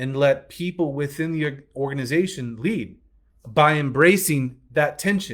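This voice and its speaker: Speaking in an American accent at a fairly slow pace with ordinary pitch variation, the voice comes through in a very clean recording with a silent background. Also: man. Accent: Southern accent, comes out at times. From US South, Alabama. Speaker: business coach. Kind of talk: business training talk.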